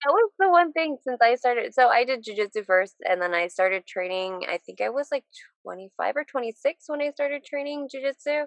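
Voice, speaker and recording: A woman with an American accent speaks at high pitch with very wide pitch swings. The sound is dry and close, with no echo. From Southern California. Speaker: MMA and bare knuckle fighter. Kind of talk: casual chat.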